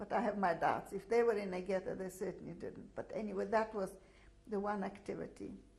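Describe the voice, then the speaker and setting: A woman with a Russian accent at a fairly quick pace. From Latvia (Daugavpils). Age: 60s. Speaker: Holocaust survivor. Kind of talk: testimony. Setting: filmed interview. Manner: halting, many fillers.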